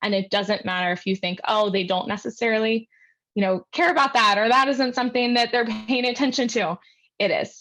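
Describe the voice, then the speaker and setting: Against a quiet background, a woman with an ordinary speaking voice and fairly high pitch talks at a moderate pace. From Philadelphia, US. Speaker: speech-language pathologist. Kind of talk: lecture. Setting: online presentation.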